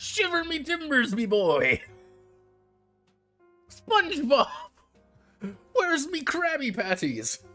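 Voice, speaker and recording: A man puts on a character voice at an extremely high pitch, speaking at a fairly slow pace. Long, frequent pauses break up his lines while faint music plays in the background. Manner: exaggerated, comic.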